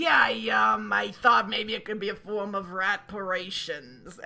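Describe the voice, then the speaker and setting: A female-sounding voice puts on a character voice at a middle pitch and moderate pace. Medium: actual play.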